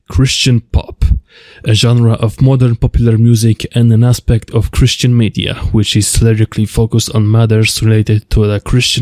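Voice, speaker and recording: With a Polish accent, a man talks in monotone, flat intonation, the sound dry and close with no echo. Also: very even loudness. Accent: Polish accent, rough. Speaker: music video essayist. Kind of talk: video essay narration.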